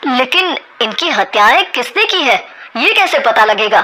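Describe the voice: A woman's cartoonish character voice, high-pitched and bright and sharp, with big pitch swings. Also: fairly slow pace.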